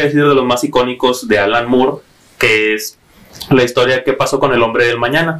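This man's voice sits at a medium pitch, with noticeable background noise in the recording. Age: 20s. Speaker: comic book fan. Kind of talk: casual chat.

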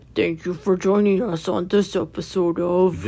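A put-on character voice sits at a middle pitch. It moves at a moderate pace. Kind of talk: radio host voice. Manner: affected, sounds weird.

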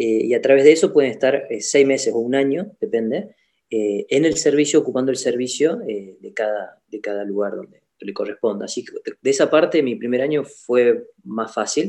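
Pitched fairly high, a man with an ordinary speaking voice talks at a moderate pace with lively intonation and big swings in loudness. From Argentina, Salta. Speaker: doctor (orthopedic surgeon). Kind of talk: casual interview chat.

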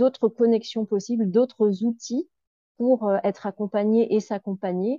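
Spoken at a very slow pace, the voice has a dark, mellow tone and a dry, close sound with no echo. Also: woman. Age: 40s. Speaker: grief counselor. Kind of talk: interview.

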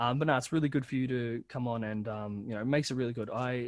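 The talking is very fast. It comes with an Australian accent. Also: man. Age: 30s. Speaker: podcast host. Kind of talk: casual chat.

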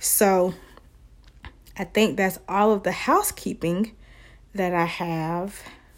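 A woman speaks at a very slow pace in a medium pitch, with long, frequent pauses and fairly even intonation. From US South. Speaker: social work student and podcaster. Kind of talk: solo podcast monologue.

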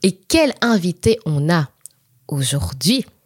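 Her pitch fairly low, a woman speaks with very wide pitch swings in a dry, close sound with no echo. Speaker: podcast host. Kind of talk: casual chat.

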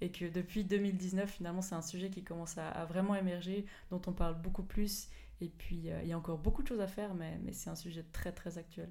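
A plain, everyday voice from a woman, fairly low in pitch, fairly quick, with fairly even intonation. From Switzerland, Fribourg area. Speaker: sports scientist and mountain runner. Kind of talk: interview.

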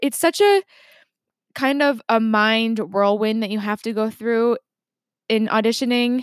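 A woman's fairly high voice with ordinary pitch variation, in a very clean recording with a silent background and a dry, close sound with no echo. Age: 20s. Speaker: actor and podcaster. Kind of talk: casual monologue. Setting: home apartment.

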